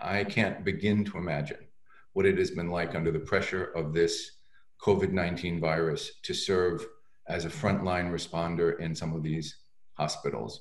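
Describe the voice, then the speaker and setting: A man's very deep, low voice at a moderate pace, with fairly even intonation, a quiet background and audible room echo. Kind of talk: commencement address. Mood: warm, congratulatory. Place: home room. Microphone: webcam.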